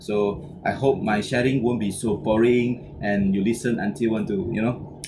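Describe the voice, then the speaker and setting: A man speaks with a Malaysian accent at a fairly slow pace. Audible room echo and noticeable background noise surround his voice. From Malaysia, Penang. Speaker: business trainer. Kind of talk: motivational talk. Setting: online video session. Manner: halting, many fillers and repetitions.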